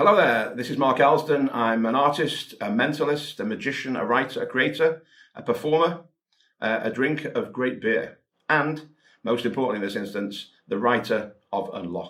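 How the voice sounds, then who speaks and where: Moderate pace, ordinary pitch variation and a Welsh accent. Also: man, medium pitch for a man. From Wales. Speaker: magician and mentalist. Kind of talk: product presentation.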